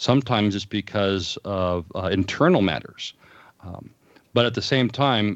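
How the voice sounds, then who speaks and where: A man's fairly low-pitched, a plain, everyday voice with an American accent, a fairly slow pace and ordinary pitch variation. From US West Coast, Southern California (Los Angeles, San Fernando Valley). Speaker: pastor. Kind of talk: interview.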